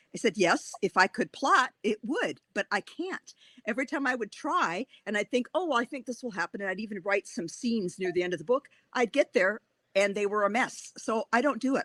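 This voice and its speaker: In a Wisconsin accent, a woman with a fairly high pitch speaks with lively intonation, the sound dry and close with no echo. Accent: Wisconsin accent, still present. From Wisconsin, Racine. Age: 60s. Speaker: author. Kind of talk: interview. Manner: animated.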